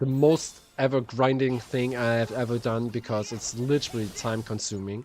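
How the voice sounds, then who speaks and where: A man with a German accent talks at a moderate pace and a medium pitch. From Germany. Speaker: gaming streamer. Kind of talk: live game stream commentary. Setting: live stream.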